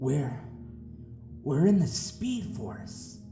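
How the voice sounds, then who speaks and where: A man does a put-on character voice at medium pitch. His pitch swings very widely, with clear music in the background. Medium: audio drama.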